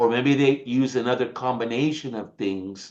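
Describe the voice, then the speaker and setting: A man with an American accent, fairly slow in pace and animated in tone. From United States. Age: 60s. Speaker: supplement company presenter. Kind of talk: sales pitch.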